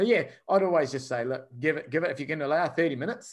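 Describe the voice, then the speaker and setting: A man with a New Zealand accent, very fast pace and ordinary pitch variation. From New Zealand (Wellington). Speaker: software company founder, former fighter. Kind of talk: podcast interview.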